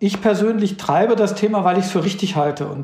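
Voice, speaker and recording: Talking at a fairly quick pace, a man speaks with ordinary pitch variation. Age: 50s. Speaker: company CEO. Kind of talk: interview.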